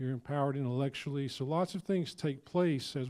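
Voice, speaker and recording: With a Georgia accent, a man speaks at a moderate pace in a dark, mellow tone and a medium pitch. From rural southern Georgia, US South. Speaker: university president. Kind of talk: panel presentation. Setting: luncheon event with audience.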